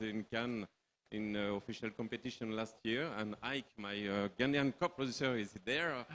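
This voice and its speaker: A man speaks in a French accent at medium pitch. His pace is fairly slow and his intonation fairly even. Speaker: film producer. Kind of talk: panel discussion. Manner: halting.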